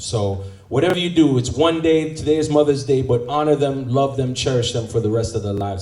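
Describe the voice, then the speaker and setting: Over noticeable background noise and audible room echo, a man talks at a fairly quick pace with ordinary pitch variation. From Jamaica. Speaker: event host. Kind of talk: event emceeing. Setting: luncheon event with audience. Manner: animated.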